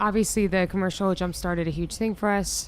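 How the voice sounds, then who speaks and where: With an American accent, a woman with a fairly low pitch talks fairly quickly in a monotone, flat intonation. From US Mid-Atlantic, Virginia suburbs of DC. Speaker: singer in a band. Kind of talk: backstage interview. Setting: backstage at a music festival.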